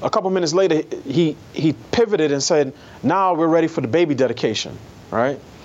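Talking very fast with an American accent, a man keeps a fairly high pitch, ordinary pitch variation and very even loudness over noticeable background noise. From New York City. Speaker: newspaper columnist. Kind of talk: interview.

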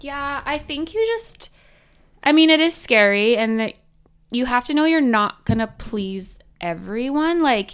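A woman with a Canadian accent in a plain, everyday voice, at a moderate pace with lively intonation, on a very clean recording with a silent background. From Canadian prairies, Manitoba (small town near Winnipeg). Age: 30s. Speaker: stay-at-home mom and Instagram comedy creator. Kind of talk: interview. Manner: casual, many fillers like 'um' and 'like'.

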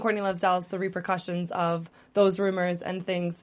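This woman talks at a moderate pace in a normal speaking voice. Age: late 20s. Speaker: entertainment show host. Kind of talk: casual chat. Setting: studio.

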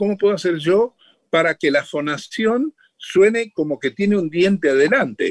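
In a dry, close sound with no echo, a man speaks high-pitched at a fairly slow pace. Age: 80s+. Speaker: voice actor and comedian. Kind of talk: radio interview.

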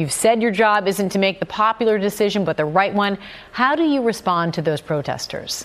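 Against noticeable background noise, a woman talks at a fairly quick pace and medium pitch. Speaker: news host. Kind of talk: live TV-style news interview. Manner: polished, brisk, formal.

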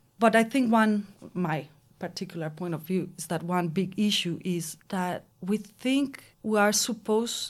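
With a Spanish accent, a woman talks fairly slowly in a somewhat breathy, medium-pitched voice with lively intonation. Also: very clean recording, silent background. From Mexico. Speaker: anthropology PhD student. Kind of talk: panel discussion.

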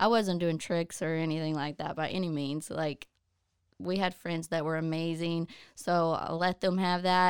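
In a fairly low voice, a woman speaks with monotone, flat intonation. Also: moderate pace, very clean recording, silent background. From southeast Oklahoma. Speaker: occupational therapy assistant. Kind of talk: casual chat.

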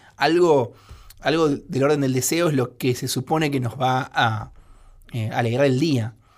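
A man's medium-pitched voice in a Rioplatense accent, fairly slow and with fairly even intonation. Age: 30s. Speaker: writer and screenwriter. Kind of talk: radio interview.

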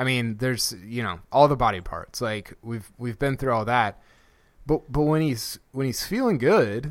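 At medium pitch and a moderate pace, a man with an ordinary speaking voice uses lively intonation. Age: 30s. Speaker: podcast host and golf writer. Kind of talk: casual chat. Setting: video call.

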